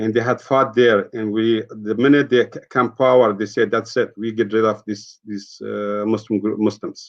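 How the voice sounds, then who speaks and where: A man with an Afghan accent at a medium pitch, monotone and flat in intonation, moving at a moderate pace with hardly any pauses. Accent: Afghan (Dari-speaking). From Afghanistan. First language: Dari. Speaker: peace activist. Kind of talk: interview testimony. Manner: halting.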